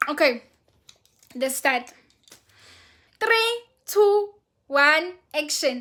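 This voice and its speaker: A woman speaks at a very slow pace in a Zulu accent. Her tone is bright and sharp. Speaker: vlogger. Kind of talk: casual vlog chat. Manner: high-pitched in greeting takes; animated.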